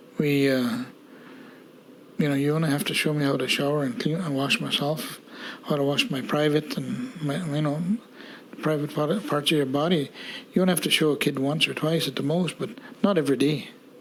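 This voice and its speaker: With ordinary pitch variation, the speech has long, frequent pauses over noticeable background noise. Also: man. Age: 60s. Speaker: residential school survivor. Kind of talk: testimony. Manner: halting.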